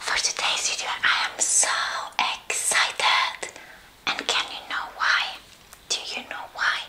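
Speaking fairly slowly, a woman keeps her words low. She is whispering throughout. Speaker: ASMR eating channel host. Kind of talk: casual vlog chat. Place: home room. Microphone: lapel.

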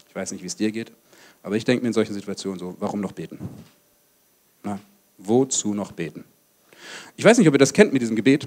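At a very fast pace, a man with a fairly low pitch and ordinary pitch variation shows big swings in loudness. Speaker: pastor. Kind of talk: sermon. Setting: church service with congregation. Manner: animated. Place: hall. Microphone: handheld.

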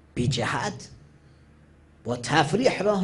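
Somewhat breathy, a man speaks with very wide pitch swings. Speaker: Shia cleric. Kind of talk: religious sermon. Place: hall.

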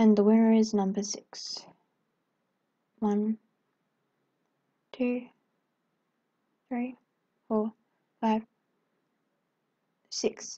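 Speaking at a very slow pace with long, frequent pauses, a woman uses a fairly high, somewhat breathy voice with a dark, mellow tone and monotone, flat intonation in a dry, close sound with no echo. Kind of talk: casual talk to viewers. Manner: dull, flat.

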